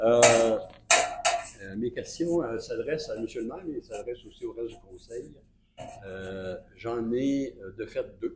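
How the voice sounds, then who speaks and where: A man's very slow speech with long, frequent pauses, big swings in loudness, and noticeable background noise. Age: 70s. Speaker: citizen at council meeting. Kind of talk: public question period. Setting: municipal council meeting. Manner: halting, many hesitations.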